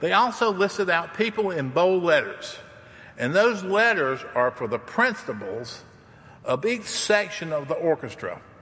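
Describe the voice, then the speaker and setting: Over noticeable background noise, a man with a high voice talks fairly slowly, his pitch swinging very widely. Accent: Southern US. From US South. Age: 60s. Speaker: campus minister to international students. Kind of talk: sermon. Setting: church. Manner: informal, storytelling.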